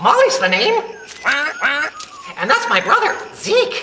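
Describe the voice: This cartoonish character voice moves at a fairly slow pace. Clear background noise can be heard.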